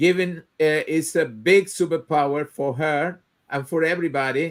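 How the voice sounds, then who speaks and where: This man has a Spanish accent and a fairly high pitch. He talks fairly slowly with fairly even intonation. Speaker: live show host. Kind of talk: online interview. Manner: halting.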